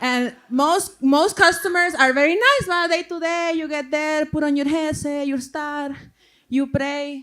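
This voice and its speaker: A fairly slow pace in a Salvadoran accent, in a very clean recording with a silent background. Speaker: stand-up comedian. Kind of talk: stand-up. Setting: stage with audience.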